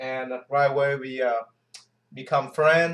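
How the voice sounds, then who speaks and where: The pace is moderate. The speaker is a man. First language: not English. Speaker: Navy veteran, YouTuber. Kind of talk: casual chat. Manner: halting.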